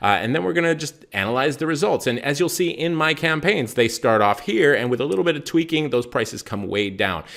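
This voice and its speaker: Speaking at a fairly quick pace with hardly any pauses, this man has a fairly high pitch and lively intonation. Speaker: music marketing teacher. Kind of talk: tutorial. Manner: fast.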